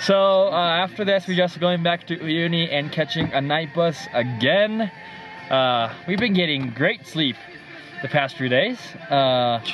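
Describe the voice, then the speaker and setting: A man at a high pitch and a fairly slow pace, with clear music in the background and a dry sound with no echo. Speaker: travel vlogger. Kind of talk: casual vlog chat. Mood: cheerful, bittersweet. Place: car. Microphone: phone near.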